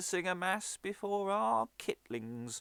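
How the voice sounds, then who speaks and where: A man performs a put-on character voice at a fairly slow pace. The recording is very clean, with a silent background. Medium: stage play.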